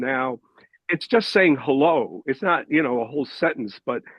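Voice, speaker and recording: A man uses an ordinary speaking voice. His pace is moderate. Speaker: discussion group member. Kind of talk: group discussion.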